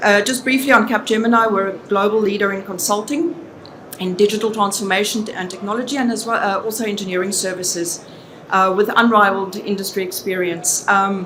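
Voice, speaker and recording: A woman of medium pitch speaks in a South African accent at a fairly quick pace, with fairly even intonation. There is noticeable background noise and audible room echo. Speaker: business consultant. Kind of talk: conference presentation.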